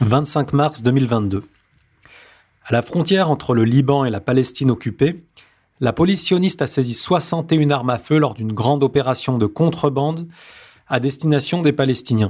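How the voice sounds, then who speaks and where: A somewhat breathy man at a moderate pace, with long, frequent pauses. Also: fairly high pitch for a man, ordinary pitch variation. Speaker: news bulletin presenter. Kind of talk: news reading, scripted bulletin with quoted post. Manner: formal.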